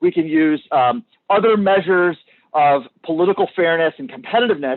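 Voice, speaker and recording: A man speaks loudly at a fairly quick pace. His voice sits high and has lively intonation. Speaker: subject matter expert on redistricting. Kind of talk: public hearing testimony. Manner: halting, repeats words.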